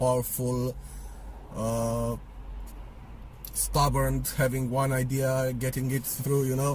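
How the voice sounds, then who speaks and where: A man with a Romanian accent speaks at a very slow pace. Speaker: vlogger. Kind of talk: opinion monologue. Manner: casual, hesitant with fillers.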